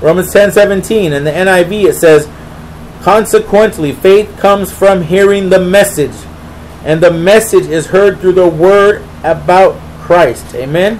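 Over light background noise, a man talks at a fairly slow pace in a high voice. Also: fairly even intonation. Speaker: preacher. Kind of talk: Bible study teaching with prayer, sermon-style. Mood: earnest, devotional. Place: home room. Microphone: webcam.

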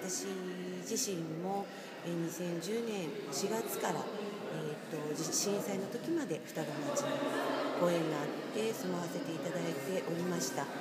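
A woman talks at a fairly slow pace while loud background noise fills the recording. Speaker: hula dance instructor. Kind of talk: interview answer. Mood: calm, sincere. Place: hall. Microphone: phone near.

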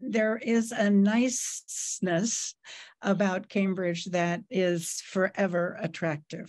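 A woman with an American accent at a very slow pace, ordinary pitch variation, very even loudness, and a quiet background. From Nebraska (small town). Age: 90s. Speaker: fashion journalist. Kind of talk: interview. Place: home room. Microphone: webcam.

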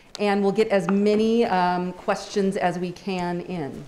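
Over light background noise, a woman speaks at a very slow pace with fairly even intonation. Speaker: professor moderating Q&A. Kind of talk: moderating Q&A. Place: hall. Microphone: handheld.

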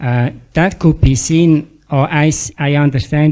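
His voice sits fairly high for a man, with a dark, mellow tone and fairly even intonation. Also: quiet background. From Switzerland. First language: German. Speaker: retreat participant. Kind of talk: audience question. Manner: halting.

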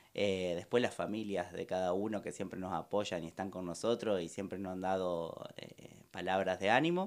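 A man's fairly low voice with a Rioplatense accent and ordinary pitch variation. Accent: Argentine Spanish (rioplatense). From Argentina. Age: young. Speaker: restaurant owner; guest. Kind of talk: interview. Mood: grateful, warm. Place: studio. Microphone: studio mic.

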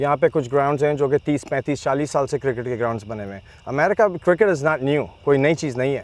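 The man talks at a fairly quick pace with ordinary pitch variation, in a dry sound with no echo. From US (Chicago area), Pakistani family. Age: 40s. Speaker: cricket league founder; guest. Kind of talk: interview. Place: open country. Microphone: lapel.

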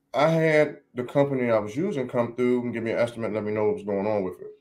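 In a plain, everyday voice, a man of medium pitch talks fairly quickly with lively intonation. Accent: American. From Maryland, Washington DC area. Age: 30s. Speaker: barbershop owner and barbecue caterer. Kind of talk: casual interview chat. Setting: studio.

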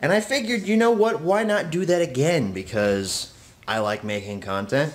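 In a plain, everyday voice, a man keeps a moderate pace. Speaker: vlogger. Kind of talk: casual vlog chat. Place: home room. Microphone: phone near.

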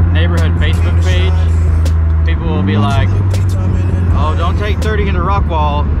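Loud background noise sits behind a man talking at a moderate pace, with a dry sound and no echo. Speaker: vlogger rider. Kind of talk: casual vlog chat. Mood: relaxed, joking. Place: car. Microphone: phone near.

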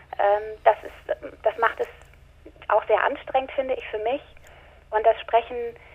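The intonation stays fairly even, broken by long, frequent pauses. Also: woman, fairly high pitch for a woman, fairly slow pace. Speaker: audiobook narrator and actress. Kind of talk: interview answer. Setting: phone line.

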